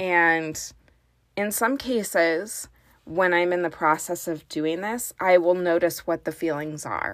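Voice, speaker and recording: A woman speaks at a fairly slow pace in a normal speaking voice, her pitch fairly low with ordinary variation. The recording is very clean, with a silent background. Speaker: parenting coach and podcast host. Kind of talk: guided meditation. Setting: closet at home. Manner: calm, slow, soothing.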